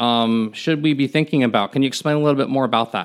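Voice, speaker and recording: A plain, everyday voice with an American accent, ordinary pitch variation, and a very clean recording over a silent background. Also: man. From Miami, Florida. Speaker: podcast host. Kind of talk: interview.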